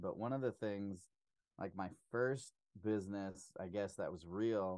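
A man with a normal speaking voice talks at a moderate pace, his fairly low pitch held to fairly even intonation. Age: 30s. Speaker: business owner and public speaker. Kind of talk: casual interview chat. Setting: home podcast studio.

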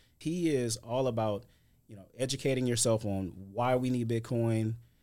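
At a fairly quick pace, a man with an ordinary speaking voice talks with an American accent. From US Midwest, St. Louis, Missouri. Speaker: tax attorney and crypto expert. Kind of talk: casual interview.

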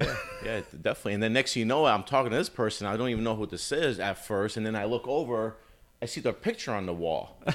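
The speaker, with an American accent, talks at a very fast pace with ordinary pitch variation. Noticeable background noise runs underneath. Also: man, medium pitch for a man. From Albany, Capital Region, New York. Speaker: bar manager. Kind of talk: casual chat. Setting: cigar lounge.

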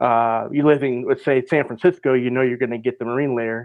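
A man with an American accent, an ordinary speaking voice at a medium pitch. He talks at a fairly quick pace with fairly even intonation. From Minnesota, US Midwest. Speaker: weather forecaster. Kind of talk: casual chat.

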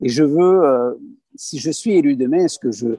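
A man's fairly high voice with a dark, mellow tone, very clean and dry, close with no echo over a silent background. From southern France (Aveyron). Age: 30s. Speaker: parliamentary candidate. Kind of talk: interview. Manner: hesitant, with filler words.

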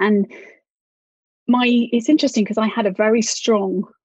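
A woman with a British accent and a fairly high pitch sounds somewhat breathy, recorded with a dry, close sound and no echo. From UK. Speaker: author and writing teacher. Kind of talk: interview.

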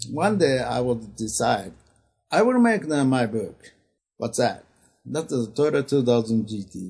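A man speaks with a Japanese accent at a medium pitch. His voice is somewhat breathy, with lively intonation. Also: fairly slow pace. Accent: Japanese accent, non-native English. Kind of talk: interview. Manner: halting, many fillers.

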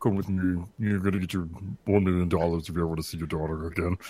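In a put-on character voice, a man speaks very fast with a very deep, low pitch and monotone, flat intonation. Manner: menacing.

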